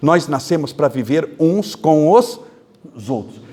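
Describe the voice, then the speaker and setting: A man talks at a fairly slow pace. His fairly high voice rises and falls in very wide swings. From Brazil, interior of São Paulo state. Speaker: spiritist lecturer. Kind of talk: lecture. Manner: animated.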